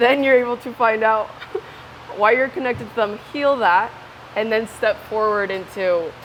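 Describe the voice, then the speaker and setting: A woman talks with a Spanish accent, an animated tone and ordinary pitch variation. There is noticeable background noise. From Ecuador. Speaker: interviewee. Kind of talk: casual interview.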